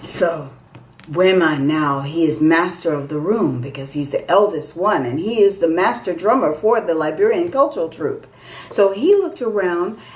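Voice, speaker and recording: A woman has an ordinary speaking voice at a fairly low pitch. Her intonation is lively. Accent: American. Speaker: storyteller. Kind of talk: storytelling performance.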